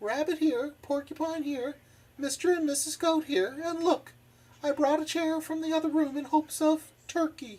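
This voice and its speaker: Squeaky and high-pitched, this is a put-on character voice. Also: moderate pace. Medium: read story. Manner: warm, hospitable.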